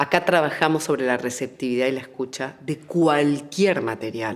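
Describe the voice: A woman speaks at an extremely low pitch. Her pace is moderate, with ordinary pitch variation.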